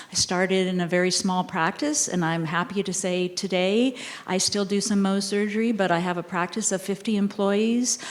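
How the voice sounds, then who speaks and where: Using a plain, everyday voice, a woman speaks at medium pitch and a moderate pace, with very even loudness, fairly even intonation and hardly any pauses. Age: 60s. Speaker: dermatologist. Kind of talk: panel discussion.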